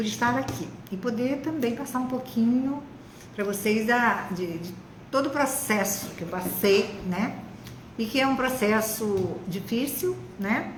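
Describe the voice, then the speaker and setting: Over noticeable background noise and audible room echo, a woman with a fairly high pitch and ordinary pitch variation speaks at a fairly slow pace. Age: 70s. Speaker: retired biologist, breast cancer survivor. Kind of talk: testimony in live interview. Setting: online live stream.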